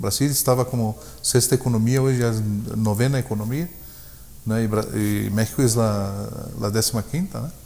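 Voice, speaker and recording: Pausing long and often, a man talks at a moderate pace. His pitch is medium with ordinary variation. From Brazil, German parents. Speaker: purchasing manager in the auto industry. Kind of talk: interview conversation. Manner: hesitant, many fillers.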